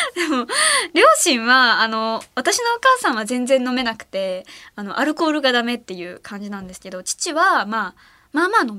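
A woman with a bright, sharp tone speaks animatedly at a high pitch and moderate pace, with very wide pitch swings and big swings in loudness. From Ehime, Japan. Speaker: late-night radio host. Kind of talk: casual radio chat. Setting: radio studio. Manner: animated, laughs often.

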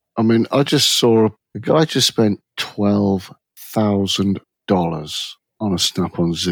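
Very slowly and with an English accent, a man speaks in a fairly low pitch with ordinary variation, the sound dry and close with no echo on a very clean recording with a silent background. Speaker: automotive diagnostician and former shop owner. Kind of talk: casual chat.

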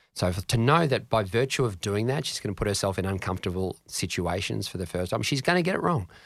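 A man with an Australian accent talks at a very fast pace, his pitch fairly low and his intonation lively. The recording is very clean, with a silent background. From Australia, Canberra. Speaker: mindset coach. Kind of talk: interview answering listener questions.

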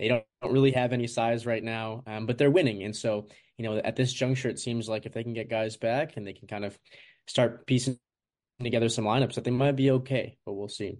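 Using a plain, everyday voice, a man talks at a fairly quick pace with a medium pitch and fairly even intonation. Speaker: college basketball writer covering Oregon. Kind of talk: sports interview.

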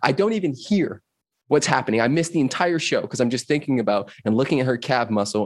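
With a Californian accent, a man speaks using ordinary pitch variation. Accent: Californian American English. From Los Angeles, US West Coast. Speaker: personal freedom coach. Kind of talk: casual interview chat. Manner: animated.

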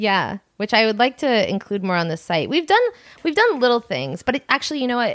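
Fairly high-pitched, a woman with an American accent speaks in a fairly bright tone with big pitch swings. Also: fairly quick pace.

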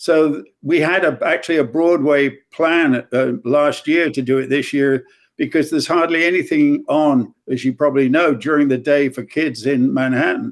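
Speaking with an English accent, a man keeps a moderate pace. His fairly high pitch shows ordinary variation. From English Midlands. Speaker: music executive. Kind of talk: interview.

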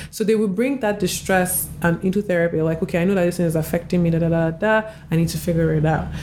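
Over noticeable background noise, a woman talks at a fairly quick pace with a fairly low pitch and fairly even intonation. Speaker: clinical therapist and architectural photographer. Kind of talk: casual interview.

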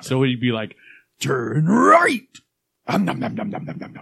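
A man's put-on character voice, growling at medium pitch and a moderate pace. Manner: goofy, munching.

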